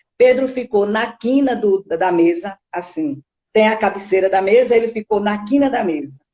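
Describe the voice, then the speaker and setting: This woman talks at a moderate pace, her medium pitch moving with ordinary variation. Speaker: spiritist lecturer. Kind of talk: lecture. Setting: online live stream.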